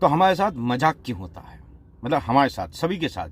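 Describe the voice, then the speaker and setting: A man speaks with vocal fry. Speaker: radio jockey. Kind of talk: casual talk to camera. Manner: humorous storytelling.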